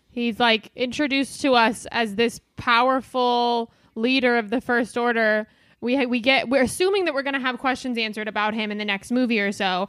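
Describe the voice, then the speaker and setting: Pitched high with ordinary pitch variation, a woman speaks at a fairly quick pace. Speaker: comedian and podcaster. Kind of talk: casual chat.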